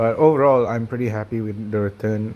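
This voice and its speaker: Here a man talks at a very fast pace. His pitch is fairly low. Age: 20s. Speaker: personal finance vlogger. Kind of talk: casual video update.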